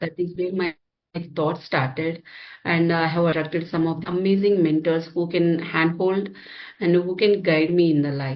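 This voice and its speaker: In an Indian accent, a woman speaks at a moderate pace. Her pitch is fairly low, and her intonation fairly even. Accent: Indian English (Telugu). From India, Hyderabad. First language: Telugu. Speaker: software engineer and healer. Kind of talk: interview. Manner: halting, many fillers.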